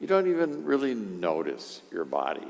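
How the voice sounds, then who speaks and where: Audible room echo follows a man's voice. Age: 70s. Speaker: priest. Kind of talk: sermon. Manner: conversational, with frequent fillers.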